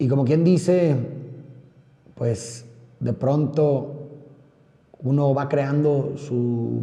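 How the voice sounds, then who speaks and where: The pitch varies in an ordinary way. Audible room echo surrounds the voice. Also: man. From Monterrey, Nuevo León, Mexico. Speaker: podcaster. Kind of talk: personal monologue. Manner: fast.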